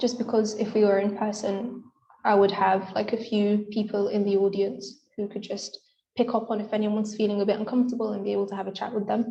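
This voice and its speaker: Speaking at a fairly quick pace, a woman uses a fairly high pitch with a dark, mellow tone and a somewhat breathy quality. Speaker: medical student speaker. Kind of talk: lecture. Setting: video call. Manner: fast.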